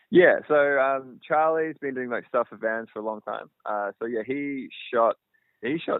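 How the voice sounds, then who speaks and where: This is a man speaking with an Australian accent. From Australia, outside Melbourne. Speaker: filmmaker and cinematographer. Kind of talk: interview. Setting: phone call.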